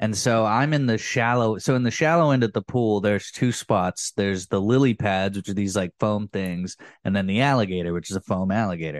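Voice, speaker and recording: With a normal speaking voice and an American accent, the speaker talks at a fairly quick pace with ordinary pitch variation, in a dry, close sound with no echo and a quiet background. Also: man. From Oklahoma, Cushing. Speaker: podcast guest. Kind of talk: casual chat.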